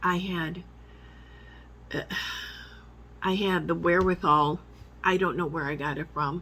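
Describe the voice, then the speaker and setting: Slowish and animated, a woman's voice has vocal fry and a bright, sharp tone at a fairly slow pace. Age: 60s. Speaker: vlogger, military veteran. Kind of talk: personal monologue vlog. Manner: emotional, animated.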